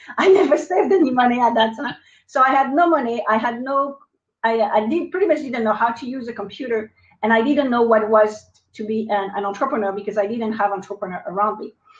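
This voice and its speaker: A woman's fairly high voice with a French accent, lively intonation and a very fast pace. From France. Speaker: entrepreneur. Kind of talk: interview. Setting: live video stream.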